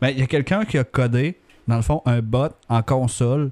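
Dry and close with no echo, a man's dark, mellow tone sits at medium pitch with ordinary pitch variation. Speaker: mobile developer, podcast co-host. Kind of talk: casual chat.

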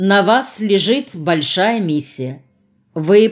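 The background is free of noise. The speaker does plain reading aloud.

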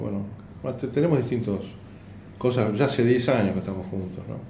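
With a Rioplatense accent, a man uses lively intonation at a medium pitch, his tone dark and mellow, while audible room echo surrounds him. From Argentina. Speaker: stand-up comedian. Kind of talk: casual interview. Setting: comedy school room. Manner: halting.

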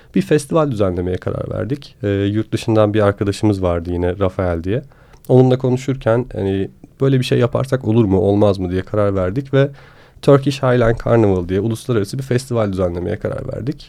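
Fairly quick in pace, a man speaks with a fairly low pitch, a dark, mellow tone and ordinary pitch variation. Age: 20s. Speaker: slackline athlete. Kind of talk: casual interview.

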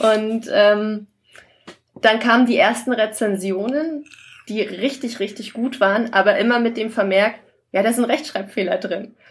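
A woman speaks slowly and somewhat breathily, with fairly even intonation. She leaves long, frequent pauses at a fairly slow pace. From Saxony-Anhalt, Germany. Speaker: novelist. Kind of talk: casual chat.

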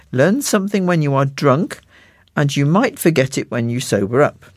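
On a very clean recording with a silent background, a man with a British accent speaks at a moderate pace, his fairly high pitch carrying lively intonation. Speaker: magazine co-host and reader. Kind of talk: magazine presenting and reading aloud.

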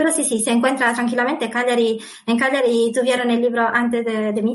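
A woman's high-pitched voice in a monotone, flat delivery, with audible room echo. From Sardinia, Italy. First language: Sardinian/Italian (speaking Spanish). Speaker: author. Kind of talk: interview. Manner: halting.

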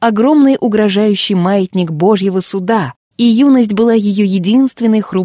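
Someone is reading aloud in a natural voice. Ordinary pitch variation comes over a quiet background.

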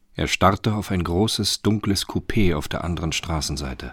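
Low-pitched for a man, this voice has a fairly bright tone and a slightly husky edge. The man speaks at a moderate pace with ordinary pitch variation in a very clean recording with a silent background.

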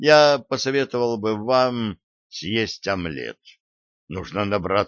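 In a natural reading voice with ordinary pitch variation, the speaker is heard over a quiet background.

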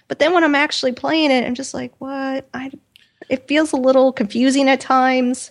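A woman with an American accent, high in pitch, with monotone, flat intonation, a moderate pace and big swings in loudness. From US Midwest. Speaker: podcast co-host. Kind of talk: casual chat.

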